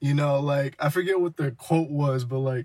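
A man with an American accent talks at a fairly quick pace in a somewhat breathy, medium-pitched voice with ordinary pitch variation, on a very clean recording with a silent background. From New Jersey. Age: 20s. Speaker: podcast co-host. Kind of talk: casual chat.

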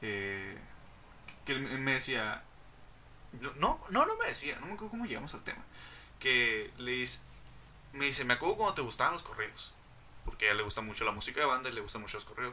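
A man with a Mexican accent talks at a medium pitch and a fairly quick pace, his intonation lively. Long, frequent pauses break up his speech amid noticeable background noise. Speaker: podcast host. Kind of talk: casual chat.

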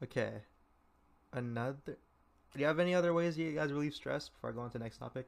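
This man has an American accent and a fairly high pitch. He talks very fast, with ordinary pitch variation. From California. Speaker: podcast host. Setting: video call. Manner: hyper, animated.

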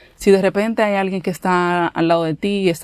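A woman talks with fairly even intonation, captured in a very clean recording with a silent background. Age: 30s. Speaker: podcast host. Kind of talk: casual solo talk.

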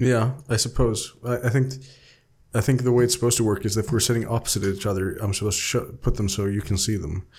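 On a very clean recording with a silent background, a man of medium pitch talks at a very fast pace in a somewhat breathy voice with ordinary pitch variation. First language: Swedish. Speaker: podcast host, role-playing game player. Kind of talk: casual chat.

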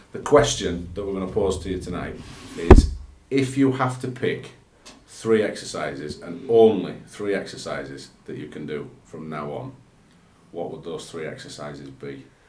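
A man with a very deep, low voice talks at a moderate pace, his pitch swinging very widely and his loudness shifting a lot, over noticeable background noise. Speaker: podcast co-host. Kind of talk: casual chat.

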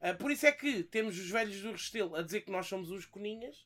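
Fairly quick in pace, the voice is raised and projected, with a bright, sharp tone. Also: man. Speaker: YouTuber. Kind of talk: casual chat. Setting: bar taproom.

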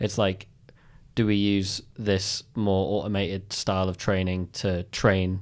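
Very deep and low, a man's voice with a British accent holds a monotone, flat intonation in a very clean recording with a silent background. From United Kingdom. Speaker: video game artist. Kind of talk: interview. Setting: studio.

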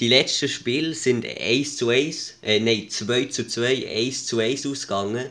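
Very slowly, a man speaks at a medium pitch with fairly even intonation. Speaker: podcast co-host. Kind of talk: casual chat.

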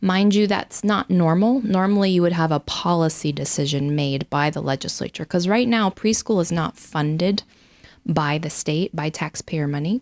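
Here is a woman with an unremarkable speaking voice, fairly low in pitch, with an American accent and ordinary pitch variation. The recording is very clean, with a silent background. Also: moderate pace, dry, close sound with no echo. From Idaho. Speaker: state legislator and former military pilot. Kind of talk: interview.

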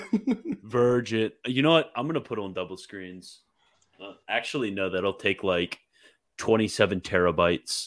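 A man speaks at a fairly slow pace in a fairly low voice. His tone is animated, with lively intonation and big swings in loudness. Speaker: livestreamer host. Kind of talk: casual chat. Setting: live stream online. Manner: animated, joking.

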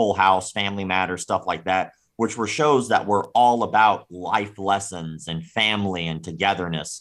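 A man with an American accent in an unremarkable speaking voice, fairly low in pitch, at a moderate pace with ordinary pitch variation. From US South, Florida. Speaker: martial arts critic and YouTuber. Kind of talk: casual chat.

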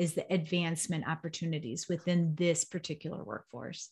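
Somewhat breathy and fairly low in pitch, a woman talks at a moderate pace in an American accent. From Chicago area. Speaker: nonprofit executive director. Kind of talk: podcast interview.

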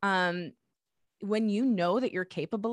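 This is a normal speaking voice with ordinary pitch variation at a moderate pace. The sound is dry and close, with no echo. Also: woman. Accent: American. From US Midwest, suburbs of Detroit, Michigan. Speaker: podcast producer, host and singer-songwriter. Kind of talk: interview.

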